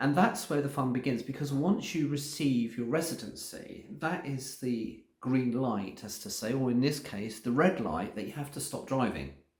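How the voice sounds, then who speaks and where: Audible room echo follows a man speaking at a medium pitch. He has ordinary pitch variation and hardly any pauses. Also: moderate pace. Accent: English. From England. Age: 60s. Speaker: vlogger. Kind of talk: casual vlog narration.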